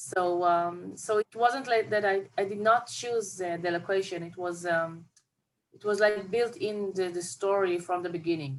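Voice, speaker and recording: A woman with an Israeli accent and ordinary pitch variation. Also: medium pitch for a woman, moderate pace. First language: Hebrew. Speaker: film director. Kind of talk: interview. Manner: halting.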